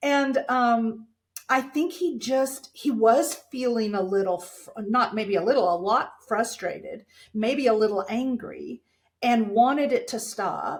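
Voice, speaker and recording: This is a normal speaking voice at a fairly slow pace. The pitch varies in an ordinary way. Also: woman, fairly high pitch for a woman. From Texas, small town. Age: 60s. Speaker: dental communication speaker and coach. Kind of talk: podcast interview.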